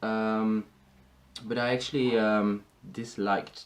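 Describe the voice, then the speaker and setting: A man with a Dutch accent. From Netherlands. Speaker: wig customer reviewer. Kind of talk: product review tutorial. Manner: hesitant, many fillers.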